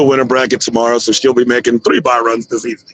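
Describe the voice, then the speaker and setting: Loud and animated, a man speaks at a very fast pace. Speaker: drag racing livestream commentator. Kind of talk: live commentary. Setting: livestream.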